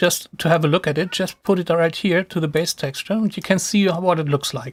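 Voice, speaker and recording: A high-pitched man with a non-native accent speaks at a fairly quick pace, recorded with a dry, close sound and no echo. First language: not English. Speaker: software tutorial streamer. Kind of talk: live tutorial. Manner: casual, with hesitations and restarts.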